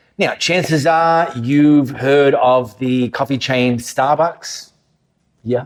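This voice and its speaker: In an Australian accent, a man speaks with a fairly high pitch and ordinary pitch variation. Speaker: pastor. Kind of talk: sermon. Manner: conversational.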